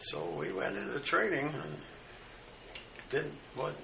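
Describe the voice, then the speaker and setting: Noticeable background noise sits under a man speaking with an American accent. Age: 80s+. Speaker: World War II veteran. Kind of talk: oral history recollection at breakfast table. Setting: home kitchen, family in background.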